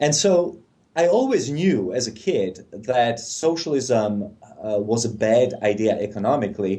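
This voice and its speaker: With a non-native accent, a man speaks in a medium pitch with a dark, mellow tone and lively intonation. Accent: foreign. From Czechoslovakia. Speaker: policy analyst. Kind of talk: interview.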